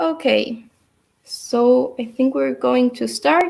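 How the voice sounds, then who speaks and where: A woman speaks with a Uruguayan accent. Her pitch is high. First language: Spanish. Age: 20s. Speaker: dance teacher. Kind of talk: online dance class instruction. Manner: halting.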